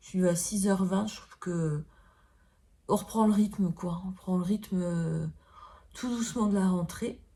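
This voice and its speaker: Somewhat breathy, a woman with a medium pitch and fairly even intonation speaks with long, frequent pauses. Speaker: beauty vlogger. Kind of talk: makeup tutorial. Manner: hesitant, many fillers.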